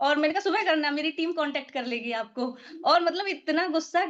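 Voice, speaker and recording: This woman's voice sits high in pitch with ordinary variation. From Uttar Pradesh, India. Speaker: network marketing team member. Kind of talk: casual group discussion.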